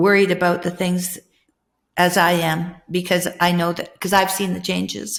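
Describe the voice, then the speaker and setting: A woman's medium-pitched voice with vocal fry at a moderate pace. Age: 60s. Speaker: podcast host. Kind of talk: casual conversation.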